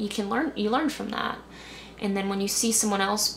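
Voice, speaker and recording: At a fairly quick pace, a woman with an American accent and medium pitch speaks with ordinary pitch variation, accompanied by audible room echo and light background noise. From US suburbs. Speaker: youth soccer coach. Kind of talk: interview. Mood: calm, reflective. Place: home room.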